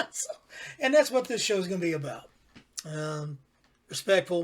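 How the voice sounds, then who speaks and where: A man with a high pitch speaks fairly slowly, his pitch swinging very widely between long, frequent pauses. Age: 50s. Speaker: podcast host and father. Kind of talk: casual chat.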